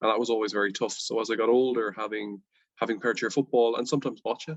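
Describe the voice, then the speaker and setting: A man with a Dublin accent talks at a very fast pace, his pitch medium and his intonation fairly even. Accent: Irish (Dublin). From Ireland, Dublin. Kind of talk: interview.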